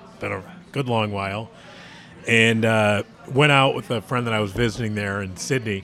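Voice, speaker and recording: There is noticeable background noise behind a man with a fairly low pitch. He talks at a moderate pace with fairly even intonation. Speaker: podcast host.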